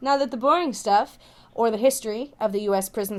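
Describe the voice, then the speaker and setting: Upbeat and animated, a woman speaks with lively intonation at a fairly high pitch. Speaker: YouTuber and podcaster. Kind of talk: voiceover commentary. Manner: fast; animated, upbeat inflection.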